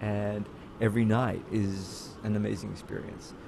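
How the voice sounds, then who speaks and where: A man speaks in an Australian accent. His pitch is fairly low and his pace moderate. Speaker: theater actor. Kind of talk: casual interview chat. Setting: video call.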